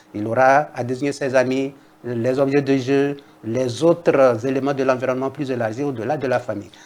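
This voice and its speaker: Speaking with a Togolese accent, a man keeps a medium pitch, a moderate pace and fairly even intonation. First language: Kabye (speaking French). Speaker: linguist, university professor. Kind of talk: TV interview. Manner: formal.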